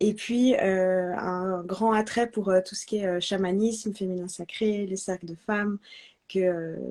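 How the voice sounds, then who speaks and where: Speaking at a fairly slow pace, a woman has a slight Swiss French accent and a medium pitch. Her tone is dark and mellow, her intonation fairly even. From Switzerland, French-speaking Alps (Vaud). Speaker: astrology student and marketing professional. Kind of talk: testimony in a live interview. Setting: Instagram live video call. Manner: hesitant, many fillers.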